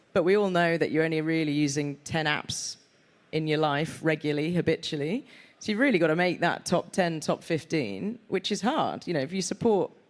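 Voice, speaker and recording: In a Yorkshire accent, the speaker goes at a fairly quick pace on a very clean recording with a silent background. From Yorkshire, northern England. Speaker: sports media executive. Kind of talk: live panel discussion. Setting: stage with audience.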